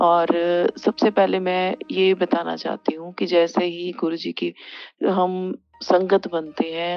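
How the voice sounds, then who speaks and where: A woman speaks with fairly even intonation at a fairly low pitch. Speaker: devotee sharing testimony. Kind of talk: testimony. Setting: sitting before guru's picture. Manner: halting, with fillers.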